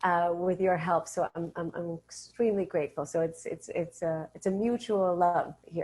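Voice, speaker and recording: A woman's plain, everyday voice, fairly low in pitch with ordinary pitch variation, at a moderate pace over a quiet background. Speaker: voice actor. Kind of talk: interview answer.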